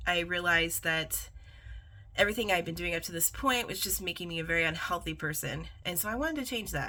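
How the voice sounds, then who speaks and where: A woman with an American accent speaks very fast in a fairly low voice, her tone bright and sharp. Vocal fry shows through, and her pitch varies in an ordinary way. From US Midwest, East Central Indiana. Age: 40s. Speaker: vlogger. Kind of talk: personal vlog monologue.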